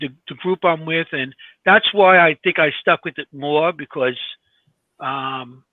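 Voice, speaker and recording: Here a man speaks in a New York accent. His pace is moderate and his pitch variation ordinary. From New York (Glendale, Queens). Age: 60s. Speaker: paranormal investigator and podcast co-host. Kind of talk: casual chat. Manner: halting.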